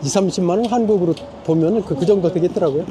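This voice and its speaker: There is noticeable background noise as a man talks at a high pitch with ordinary pitch variation. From South Korea. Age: 60s. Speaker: retired restaurant owner, immigrant. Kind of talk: street interview.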